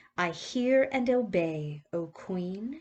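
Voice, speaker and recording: This is a put-on character voice from a female-sounding speaker at medium pitch. She growls as she talks. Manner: growling, obedient.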